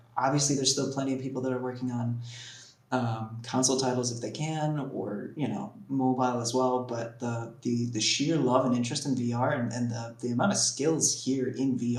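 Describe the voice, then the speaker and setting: A man's medium-pitched voice with an American accent, fairly quick and fairly even in intonation, amid noticeable background noise and audible room echo. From United States. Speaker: game developer, event organiser. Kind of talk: interview.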